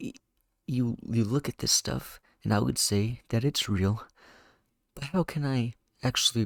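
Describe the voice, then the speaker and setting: A man speaks quietly at a medium pitch and a fairly slow pace, with ordinary pitch variation and long, frequent pauses. The very clean recording has a silent background and a dry, close sound with no echo. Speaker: YouTuber podcast host. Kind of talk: casual solo monologue. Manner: halting.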